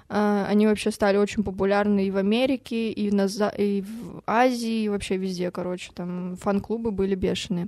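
A woman speaks at a moderate pace with hardly any pauses, her pitch medium. Her tone is dark and mellow, and her intonation is monotone and flat. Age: 20s. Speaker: podcast co-host. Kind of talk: casual chat.

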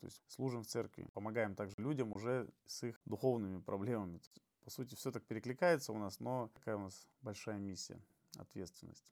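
Using a normal speaking voice, a man talks at a fairly low pitch and fairly quick pace, with ordinary pitch variation. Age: 30s. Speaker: HIV awareness activist. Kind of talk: podcast interview.

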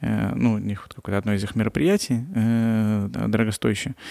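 The recording is very clean, with a silent background. A man with a dark, mellow tone and fairly low pitch speaks at a moderate pace with fairly even intonation. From Russia, Chita. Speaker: entrepreneur and blogger. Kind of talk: podcast interview.

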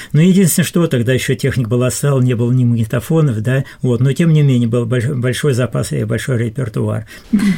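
A man with a medium-pitched voice and ordinary pitch variation talks at a fairly quick pace against noticeable background noise. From southern Russia, Khoper river area. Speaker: senior volunteer. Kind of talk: radio interview. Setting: studio.

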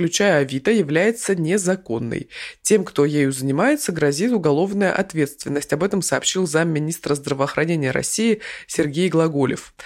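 Speaking with a plain, everyday voice, a woman with a fairly low pitch keeps a moderate pace, very even loudness and lively intonation. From Krasnoyarsk, Siberia. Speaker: podcast news co-host. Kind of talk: casual news discussion.

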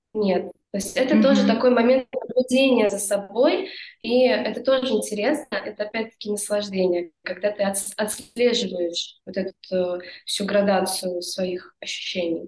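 With a plain, everyday voice, a woman talks at a moderate pace and medium pitch, her pitch varying in an ordinary way. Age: 20s. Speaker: yoga teacher. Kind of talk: casual interview chat.

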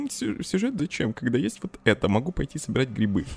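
With lively intonation, the man races along at a very fast pace. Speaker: book blogger. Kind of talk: casual chat. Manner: loud.

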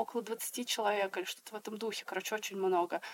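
A woman's fairly high voice with ordinary pitch variation, dry and close with no echo. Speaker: textile artist. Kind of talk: casual chat. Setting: video call.

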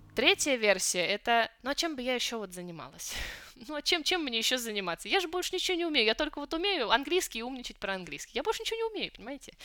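High pitch and a raised, projected voice from a woman, bright and sharp in tone, with very wide pitch swings at a very fast pace. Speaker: Chinese teacher and song translator blogger. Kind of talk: casual interview chat.

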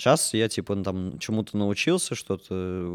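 In a very clean recording with a silent background, a man with a plain, everyday voice speaks at a moderate pace and fairly low pitch. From Russia, Orenburg. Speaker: puppet theatre actor and musician. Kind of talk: casual chat.

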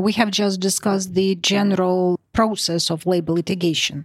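Spoken with a Russian accent, the voice sounds dry and close with no echo on a very clean recording with a silent background. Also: woman. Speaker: podcast host, lawyer. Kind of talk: podcast moderation.

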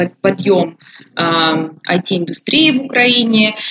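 At a very slow pace, a woman speaks at a medium pitch with lively intonation. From Ukraine, Poltava region. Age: 20s. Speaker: expat office worker. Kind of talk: interview.

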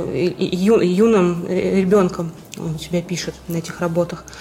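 A woman speaks at a medium pitch with noticeable background noise. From Vyborg, Russia. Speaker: art historian. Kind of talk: interview.

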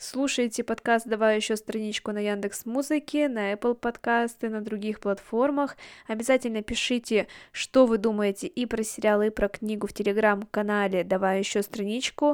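A woman with an ordinary speaking voice talks at a moderate pace and a fairly high pitch with fairly even intonation, in a very clean, dry, close recording with a silent background and no echo. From Russia, Yekaterinburg. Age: 20s. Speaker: podcast host. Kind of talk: monologue book review.

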